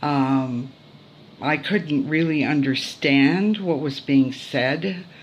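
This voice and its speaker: The woman's voice is very deep and low, and she speaks very slowly with ordinary pitch movement. Room echo can be heard around her. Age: 60s. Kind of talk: testimony. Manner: hesitant, many fillers.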